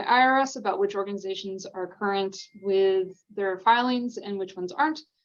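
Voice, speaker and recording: Her intonation is fairly even. This woman's voice sits at a medium pitch. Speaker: grant program staff presenter. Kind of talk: training webinar presentation. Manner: fast; many filler ums.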